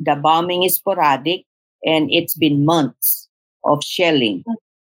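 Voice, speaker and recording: In a Filipino accent, a woman speaks with a very deep, low pitch, ordinary pitch variation and very even loudness. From southern Philippines. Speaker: podcast host. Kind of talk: casual conversation. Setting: remote call.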